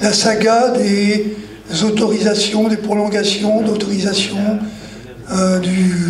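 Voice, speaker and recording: A man's high-pitched, flat, monotone voice amid noticeable background noise and audible room echo. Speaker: activist, anti-glyphosate campaigner. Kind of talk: panel discussion.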